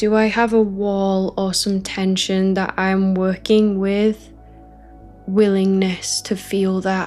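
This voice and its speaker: Over music in the background, a woman talks very slowly at a medium pitch, her intonation flat and monotone and her tone calm and soothing. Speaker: spiritual teacher. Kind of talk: guided spiritual teaching session, ASMR-style. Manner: calm, soothing, slow.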